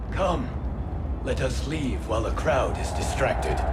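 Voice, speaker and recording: Loud background noise fills the clip. A man speaks in a put-on character voice. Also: moderate pace. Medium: short film. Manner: cautious, sober.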